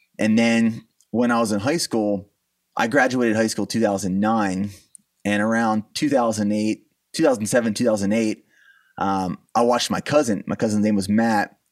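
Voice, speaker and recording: A man with an unremarkable speaking voice talks at a moderate pace and fairly low pitch. His intonation stays fairly even in a very clean recording with a silent background. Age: 30s. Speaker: supplement company founder and army veteran. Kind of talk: interview.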